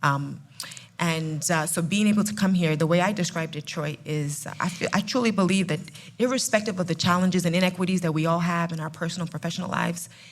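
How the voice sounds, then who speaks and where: A woman talks at a very fast pace in a fairly low pitch, her voice somewhat breathy and her intonation fairly even. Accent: New Jersey. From New Jersey, Ghanaian family. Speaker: food company CEO. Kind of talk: live panel podcast. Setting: live event with audience.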